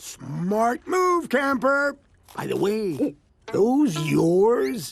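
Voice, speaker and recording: This cartoonish character voice sits at a fairly high pitch, moving very slowly through very wide pitch swings. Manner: boastful, macho.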